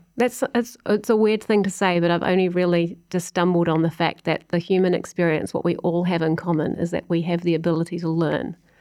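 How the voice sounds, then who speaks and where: A woman's fairly low voice in a New Zealand accent, very even in loudness, with fairly even intonation and a fairly quick pace. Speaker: music industry executive. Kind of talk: casual interview.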